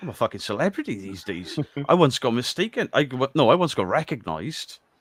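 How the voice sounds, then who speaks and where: With a Welsh accent, a man speaks at a fairly quick pace and fairly high pitch, with vocal fry, very wide pitch swings, big swings in loudness, and a dry, close sound with no echo. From Wales. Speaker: paranormal YouTuber. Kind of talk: casual chat on live stream.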